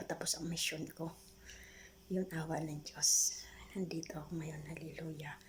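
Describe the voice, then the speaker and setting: At a moderate pace, the speech comes through noticeable background noise. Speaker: vlogger. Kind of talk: personal testimony.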